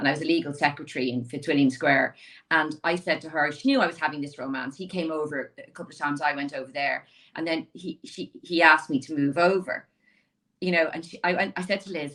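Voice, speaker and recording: Speaking very fast with a Dublin accent, a woman has a very deep, low pitch, a bright, sharp tone, ordinary pitch variation and big swings in loudness. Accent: Dublin Irish. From Ireland, Dublin inner city. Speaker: lawyer. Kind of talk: interview conversation. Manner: animated.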